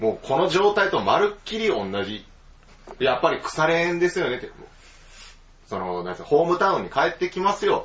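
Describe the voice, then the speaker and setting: A man talks with a Kansai accent. His pace is moderate. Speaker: podcast host. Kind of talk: casual chat.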